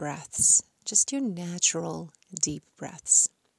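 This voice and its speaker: Very slowly and in a calm, soothing tone, a woman speaks with lively intonation, the sound dry and close with no echo. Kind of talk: guided meditation. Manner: slow, calm and soothing, with long pauses; gentle, measured, counting rhythmically.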